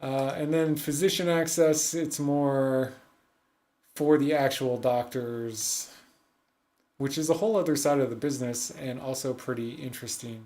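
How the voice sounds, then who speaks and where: A man's fairly high voice with ordinary pitch variation, at a moderate pace, with audible room echo. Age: 40s. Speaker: digital advertising agency owner reviewing ads. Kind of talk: livestream ad review commentary. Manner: casual, thinking aloud with fillers.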